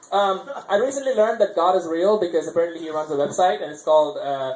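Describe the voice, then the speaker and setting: Over noticeable background noise and audible room echo, a man with a high pitch speaks at a very fast pace. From India, Chennai, Tamil Nadu. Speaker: amateur comedian. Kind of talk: stand-up. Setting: stage with audience at open mic. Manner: halting, many fillers and restarts.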